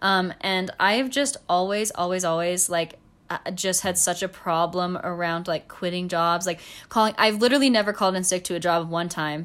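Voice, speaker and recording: A normal speaking voice moves at a moderate pace with ordinary pitch variation, captured in a very clean recording against a silent background. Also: woman, medium pitch for a woman. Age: 20s. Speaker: podcast co-host. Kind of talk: casual chat. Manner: giggly.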